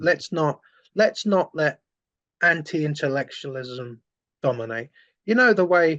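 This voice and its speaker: With a London accent, a man speaks at a fairly high pitch and a fairly slow pace, the sound dry and close with no echo. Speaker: former far-right activist turned anti-fascist campaigner. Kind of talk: interview. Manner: animated.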